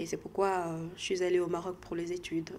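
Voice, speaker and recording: Her tone is dark and mellow. This woman talks at a moderate pace. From DR Congo. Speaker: health sector professional. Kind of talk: interview. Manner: halting.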